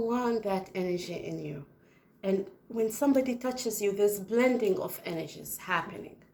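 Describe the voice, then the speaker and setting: A woman speaks with a non-native accent at medium pitch. Her pace is moderate and her pitch varies in an ordinary way. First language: not English. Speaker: spiritual video channel host. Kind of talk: casual spiritual monologue to camera. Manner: animated.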